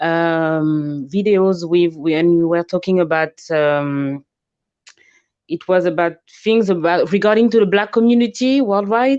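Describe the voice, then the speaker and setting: A woman with a French accent, fairly low in pitch and fairly slow, her loudness very even against a quiet background. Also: ordinary pitch variation. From France. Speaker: caller. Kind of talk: call-in conversation. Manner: halting.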